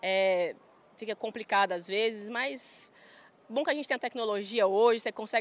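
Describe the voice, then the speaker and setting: On a very clean recording with a silent background, a woman with a rural Goiás accent speaks at a fairly quick pace with a fairly high pitch and ordinary pitch variation. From Goiás, Brazil (Goiânia). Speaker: farm manager and influencer. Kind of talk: casual interview. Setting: trade fair stand.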